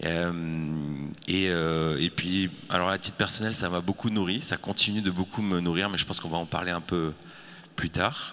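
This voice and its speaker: Very deep and low in pitch, a man's voice carries a bright, sharp tone and fairly even intonation. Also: moderate pace. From France. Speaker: communication agency founder. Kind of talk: panel discussion.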